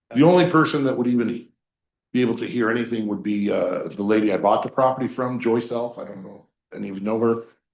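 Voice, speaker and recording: At a very fast pace, a man speaks at medium pitch with ordinary pitch variation and big swings in loudness. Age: 60s. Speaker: permit applicant at public meeting. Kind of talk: public hearing testimony. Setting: county planning commission meeting. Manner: hesitant, many fillers.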